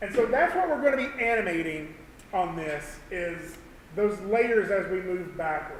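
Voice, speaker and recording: Amid noticeable background noise and audible room echo, a man with a Southern US accent speaks at a high pitch and a moderate pace with lively intonation. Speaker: animation instructor. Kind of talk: tutorial. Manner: halting.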